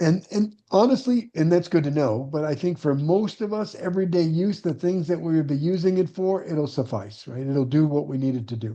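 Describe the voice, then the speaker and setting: A man talks at a fairly quick pace with hardly any pauses, his pitch fairly high and his tone dark and mellow. The background is quiet. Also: lively intonation. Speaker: real estate investor and coach; online meeting host. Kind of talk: live online class. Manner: fast. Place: home room. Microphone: webcam.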